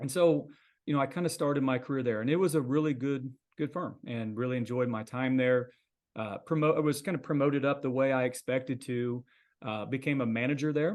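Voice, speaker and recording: With an American accent, a man talks at a fairly quick pace in an unremarkable speaking voice, medium in pitch and fairly even in intonation. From US Midwest, Missouri. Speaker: accountant. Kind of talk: casual interview.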